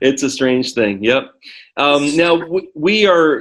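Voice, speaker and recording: With lively intonation, a man speaks in an ordinary speaking voice at a fairly high pitch. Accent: American. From United States. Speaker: ESL teacher. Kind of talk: lesson. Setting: video call.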